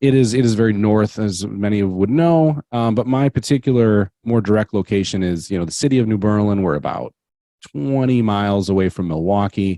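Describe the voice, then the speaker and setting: With a Wisconsin accent, a man speaks at a moderate pace and fairly low pitch with ordinary pitch variation, in a dry, close sound with no echo. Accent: Wisconsin accent, noticeable. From Wisconsin, Manitowoc area. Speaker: podcast host. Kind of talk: casual interview as guest. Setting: home basement studio. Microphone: good mic and headset.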